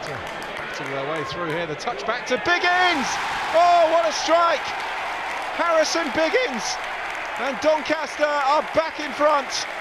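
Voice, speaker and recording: The speaker talks at a fairly slow pace over loud background noise. The sound is dry, with no echo. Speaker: football commentator. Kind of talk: live football match commentary, highlights.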